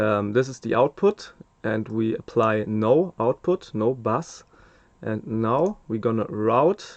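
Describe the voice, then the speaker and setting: A man with a German accent, medium-pitched, ordinary pitch variation, a very slow pace, and a dry, close sound with no echo. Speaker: mastering engineer. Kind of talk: tutorial. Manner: hesitant, many fillers.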